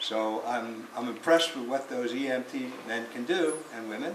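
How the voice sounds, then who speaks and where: With audible room echo and noticeable background noise behind him, a man delivers his words at a moderate pace. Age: 80s+. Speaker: retired photographer, navy veteran. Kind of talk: self-introduction at a meeting.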